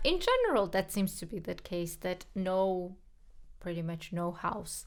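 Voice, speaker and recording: A woman talks with a Georgian accent. Her pace is fairly slow. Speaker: podcast co-host, pianist. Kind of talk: casual chat.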